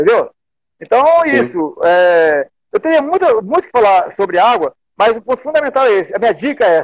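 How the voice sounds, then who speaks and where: A man's extremely high pitch with very wide pitch swings, very even loudness and a fairly quick pace. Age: 60s. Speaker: wellness and exercise instructor. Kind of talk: casual interview.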